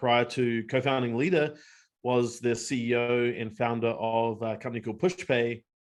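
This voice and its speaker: In a New Zealand accent, a man speaks at medium pitch and a moderate pace with fairly even intonation over a quiet background. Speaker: company co-founder. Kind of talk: webinar discussion. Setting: video webinar.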